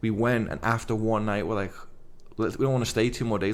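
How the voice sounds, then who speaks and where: A medium-pitched man with a Liverpool accent and fairly even intonation, plus audible room echo. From England, Liverpool. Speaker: evangelist, former pro athlete. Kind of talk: podcast interview. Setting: kitchen at home.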